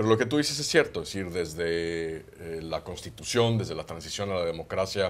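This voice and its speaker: A man with a very deep, low pitch talks at a fairly quick pace with lively intonation and hardly any pauses. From Mexico. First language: Catalan (speaking Spanish). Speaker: former ambassador. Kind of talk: TV panel discussion.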